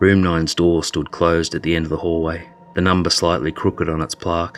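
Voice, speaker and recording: A man speaks at a very fast pace with a very deep, low pitch. There is noticeable background noise. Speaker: storyteller. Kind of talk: horror story narration.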